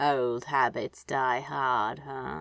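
The speaker mumbles in a put-on character voice. The pitch sits low-to-middle. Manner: mumbling, sleepy.

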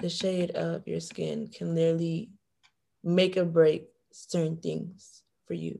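This is a woman with an American accent. She talks at a fairly slow pace. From Florida, Broward County (Haitian family). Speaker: university student, panelist. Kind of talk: casual chat. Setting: video call.

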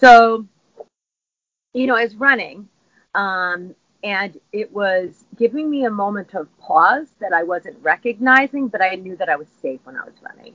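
A woman with an unremarkable speaking voice talks fairly slowly at a medium pitch, her intonation lively and her loudness swinging widely. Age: 50s. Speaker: fitness instructor. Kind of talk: casual interview chat.

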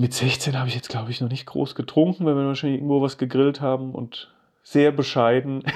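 This man talks fairly quickly at a medium pitch, his intonation monotone and flat. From Germany, Rhine-Main area (Geisenheim near Wiesbaden). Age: 40s. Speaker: creative director. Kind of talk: casual interview chat.

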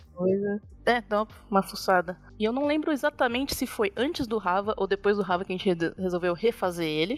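Over music in the background, the speaker talks at a fairly quick pace with lively intonation. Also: woman, medium pitch for a woman. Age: 30s. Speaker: game artist. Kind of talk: interview. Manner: casual, laughs often.

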